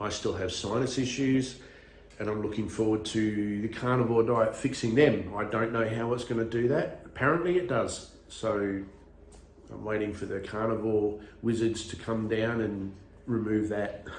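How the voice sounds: A man speaks at a moderate pace with ordinary pitch variation and a fairly low pitch. Strong room echo surrounds his voice.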